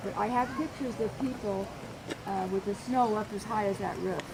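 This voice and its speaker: A woman with an American accent speaks at a medium pitch and moderate pace, using ordinary pitch variation. Audible room echo and noticeable background noise are present. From Idaho, US. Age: 70s. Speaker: tour guide. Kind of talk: walking tour talk. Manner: halting.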